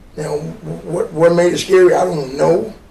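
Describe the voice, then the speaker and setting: Audible room echo surrounds a man speaking at a high pitch with an American accent. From Little Rock, Arkansas. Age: 70s. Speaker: Vietnam veteran. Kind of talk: interview recollection.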